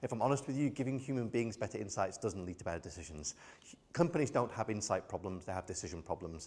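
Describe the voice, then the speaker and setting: Very fast and lively, a man with a British accent speaks in a fairly low, somewhat breathy voice. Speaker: AI expert keynote speaker. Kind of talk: keynote talk.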